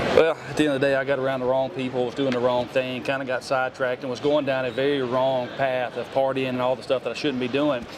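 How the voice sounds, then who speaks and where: A man with a Southern US accent speaks at medium pitch. His intonation is monotone and flat, with noticeable background noise. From Tennessee. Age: 40s. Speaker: hunter and outdoor show personality. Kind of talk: podcast interview. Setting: trade show. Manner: casual, halting with many fillers.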